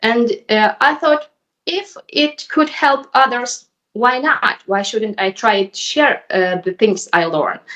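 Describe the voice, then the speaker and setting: A woman with a Ukrainian accent has a high pitch and a bright, sharp tone. She speaks at a very slow pace with very wide pitch swings. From Ukraine. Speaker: YouTuber learning English. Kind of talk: casual conversation. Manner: hesitant.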